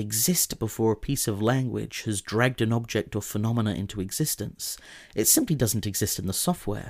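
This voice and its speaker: A man talks in a normal speaking voice at a fairly quick pace, with a medium pitch and ordinary pitch variation, on a very clean recording with a silent background. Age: 20s. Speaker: podcast host. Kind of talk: scripted essay narration. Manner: formal.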